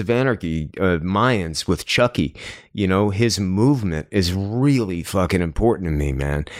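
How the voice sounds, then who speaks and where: In a very clean recording with a silent background, a man with a plain, everyday voice talks at a moderate pace, his fairly low pitch showing ordinary variation. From New Jersey. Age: 50s. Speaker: painter and actor. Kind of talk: casual chat.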